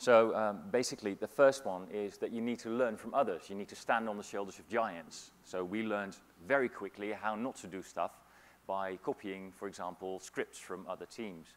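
A man talks in an unremarkable speaking voice, fairly low in pitch with fairly even intonation. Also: moderate pace. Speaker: keynote speaker. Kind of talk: conference keynote. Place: hall. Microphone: lapel.

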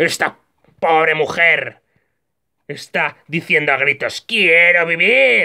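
At a slow pace, a man does a put-on character voice with fairly high pitch, ordinary pitch variation, vocal fry and a bright, sharp tone.

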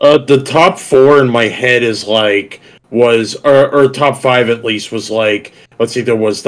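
Medium pitch and an American accent in a man's speaking voice. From New Jersey. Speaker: webcomic creator. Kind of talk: casual chat.

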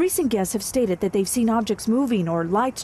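A woman with a fairly high pitch and ordinary pitch variation speaks in a plain, everyday voice. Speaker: tour guide narrator. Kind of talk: scripted self-guided walking tour narration. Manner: playful, teasing spooky storyteller; chatty, addresses listener directly with questions.

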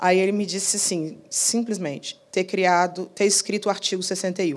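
In a monotone, flat intonation, a woman's speech proceeds at a fairly slow pace. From Brazil. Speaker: lawyer. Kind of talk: panel talk. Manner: hesitant, many fillers. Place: hall. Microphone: handheld.

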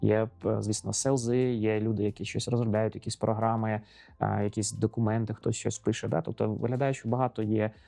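A man talks at a moderate pace in a dark, mellow tone, his intonation monotone and flat. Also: fairly low pitch for a man. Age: 40s. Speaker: podcast host, IT entrepreneur. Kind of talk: casual interview. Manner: halting.

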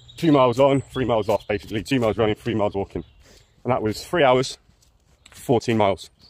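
At a very fast pace, a man speaks with ordinary pitch variation in a dry sound with no echo. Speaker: ultrarunner vlogger. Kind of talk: casual vlog chat. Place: waterside. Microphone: phone near.

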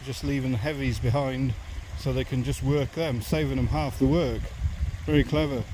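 Dry sound with no echo, a man at a moderate pace, and light background noise. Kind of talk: casual vlog commentary. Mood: mildly disappointed, then curious. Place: waterside. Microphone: phone near.

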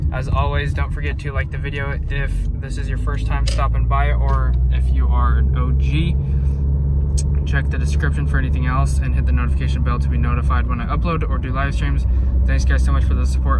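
This man talks fairly quickly in a dry sound with no echo, while loud background noise goes on. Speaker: electrician vlogger. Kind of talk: casual vlog chat. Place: car. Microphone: phone near.

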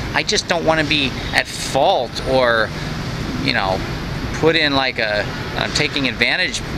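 A man's voice comes through heavy background noise, dry and echo-free, at a medium speed. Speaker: vlogger caring for elderly friend. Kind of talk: casual talk to camera. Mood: earnest, reflective. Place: street. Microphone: phone near.

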